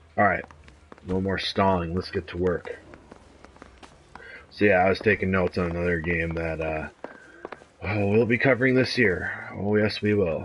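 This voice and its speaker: Over noticeable background noise, a man with a very deep, low voice speaks at a moderate pace, leaving long, frequent pauses. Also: ordinary pitch variation. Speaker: gaming video creator. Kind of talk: gameplay commentary. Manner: casual, halting.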